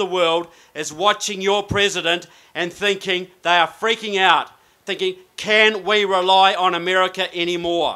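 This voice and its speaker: A man with a New Zealand accent speaks at a moderate pace in a high voice, his intonation flat and monotone. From New Zealand, Christchurch. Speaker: political researcher and author. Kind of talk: speech.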